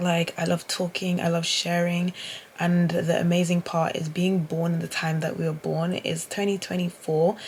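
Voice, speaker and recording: With a British accent, a woman talks at a moderate pace in a fairly low, somewhat breathy voice with monotone, flat intonation. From UK. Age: 20s. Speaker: vlogger. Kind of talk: casual vlog monologue. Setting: in bed at home, self-recorded. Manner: talkative, rambling delivery.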